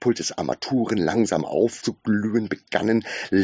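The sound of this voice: Delivered in an unforced reading voice, the speech keeps a fairly even intonation.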